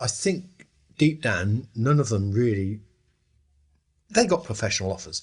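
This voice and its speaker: This man's voice is somewhat breathy, swinging very widely in pitch, with long, frequent pauses. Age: 70s. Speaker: former 1960s band member. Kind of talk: interview reminiscence.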